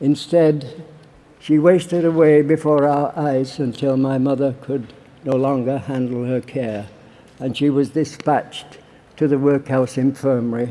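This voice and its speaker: Speaking in a Yorkshire accent, a man has a fairly high pitch and a dark, mellow tone. His intonation is fairly even. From Barnsley, Yorkshire, England. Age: 80s+. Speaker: war veteran. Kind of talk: political conference speech. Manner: passionate.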